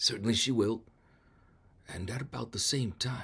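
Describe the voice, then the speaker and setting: In a raspy, put-on character voice, the speaker moves along at a moderate pace. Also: man. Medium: read story.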